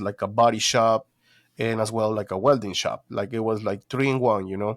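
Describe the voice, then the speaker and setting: In a very clean recording with a silent background, a man with a Spanish accent talks at a fairly quick pace, his medium pitch held in fairly even intonation. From Guatemala. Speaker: detailing business owner. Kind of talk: interview, personal story. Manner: halting, many fillers.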